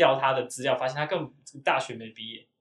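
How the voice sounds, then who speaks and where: A man talks at a very fast pace. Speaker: podcast host. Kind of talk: casual chat.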